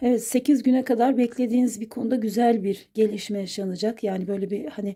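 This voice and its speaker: A woman speaks with a dark, mellow tone. Her voice is somewhat breathy and her intonation fairly even. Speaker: coffee cup fortune teller. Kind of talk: fortune reading monologue. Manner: hesitant, many filler sounds.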